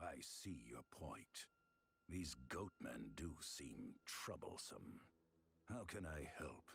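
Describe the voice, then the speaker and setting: A man puts on a character voice with a very deep, low pitch. He talks at a very slow pace. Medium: video game. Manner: terse.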